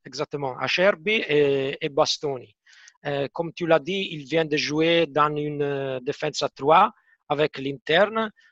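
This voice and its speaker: In an Italian accent, a man with a fairly high pitch and ordinary pitch variation speaks at a very slow pace, the sound dry and close with no echo. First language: Italian (speaking French). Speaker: football match analyst. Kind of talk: casual chat.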